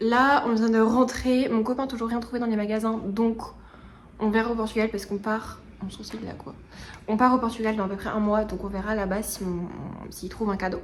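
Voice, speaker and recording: With audible room echo, a woman of fairly high pitch speaks in a monotone, flat intonation broken by long, frequent pauses. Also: fairly quick pace. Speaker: lifestyle vlogger. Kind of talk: vlog. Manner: casual, hesitant with fillers; loud.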